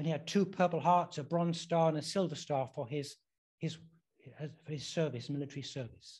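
A man talks with an English accent and a high pitch. The background is quiet. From England. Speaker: preacher. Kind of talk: sermon. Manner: halting.

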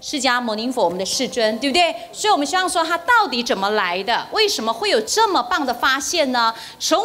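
Her pitch swings very widely. The woman's voice is high. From Taiwan. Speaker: spiritual teacher. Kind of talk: lecture. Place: hall. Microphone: handheld.

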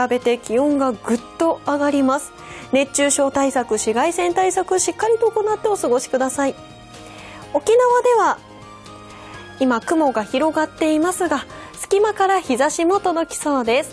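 Over faint music in the background, a woman speaks slowly-ish at a fairly slow pace, her high pitch making very wide swings. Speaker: weather forecaster. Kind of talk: weather forecast broadcast. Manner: bright, friendly. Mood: cheerful, bright. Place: studio. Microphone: lapel.

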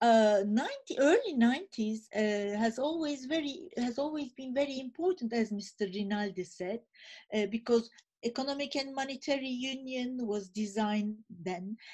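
Over a quiet background, a woman with a high pitch and a dark, mellow tone speaks at a fairly slow pace with lively intonation. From Turkey. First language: Turkish. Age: 50s. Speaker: think tank director; speaker. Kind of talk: panel presentation. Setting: video call. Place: home room. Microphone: webcam.

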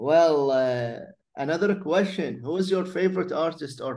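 With an Arabic accent, a man of fairly high pitch talks at a moderate pace with ordinary pitch variation. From Iraq. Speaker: podcast host. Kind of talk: interview.

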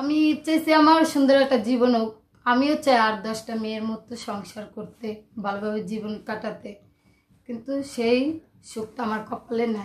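This woman's fairly high voice has ordinary pitch variation and big swings in loudness. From Bangladesh, Dhaka; Bangladesh. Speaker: interviewee. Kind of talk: personal testimony. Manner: halting. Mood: sad, confessional. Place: home room.

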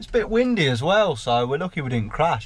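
A man speaks with lively intonation. There is music behind him. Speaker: farmer vlogger. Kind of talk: casual vlog chat. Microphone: camera far.

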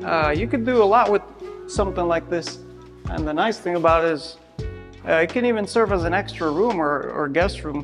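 A man talks fairly quickly. Clear music can be heard behind him. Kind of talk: property tour conversation. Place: empty room. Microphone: lapel.

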